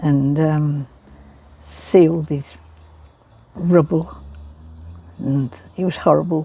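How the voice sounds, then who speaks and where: A woman is speaking. Her tone is dark and mellow. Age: 80s+. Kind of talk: interview answer.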